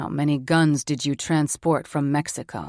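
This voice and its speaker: A put-on character voice, gravelly and low-to-middle in pitch, at a moderate pace, on a very clean recording with a silent background. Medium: read story.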